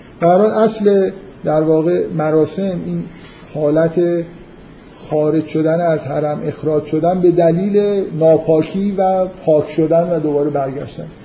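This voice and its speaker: A man speaks very slowly at fairly high pitch with fairly even intonation. Noticeable background noise and audible room echo fill the recording. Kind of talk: lecture. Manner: halting.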